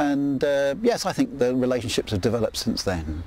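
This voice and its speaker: With an English accent, this man speaks fairly quickly. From England. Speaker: neighbour interviewed for a documentary. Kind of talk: interview. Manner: hesitant, with fillers.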